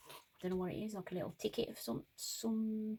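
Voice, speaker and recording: Somewhat breathy and dark, mellow in tone, a woman with an English accent speaks at a very fast pace. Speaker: crafter. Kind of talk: craft tutorial chat. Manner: casual, chatty.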